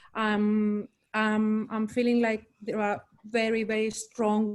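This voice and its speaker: A woman speaks with a Greek accent at a fairly high pitch. Her intonation stays monotone and flat. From Greece. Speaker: poet. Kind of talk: panel discussion. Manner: halting.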